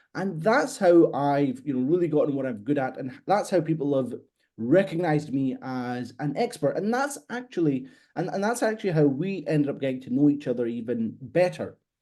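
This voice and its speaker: A man with a Scottish accent speaks at a moderate pace with lively intonation. His fairly high voice carries a dark, mellow tone. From Scotland. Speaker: copywriter. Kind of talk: podcast interview.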